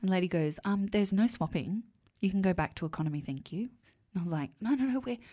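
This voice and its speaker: A woman with an Australian accent talks very fast at a medium pitch, her dark, mellow tone carrying lively intonation over a very clean recording with a silent background. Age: 40s. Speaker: podcast co-host. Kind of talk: casual chat.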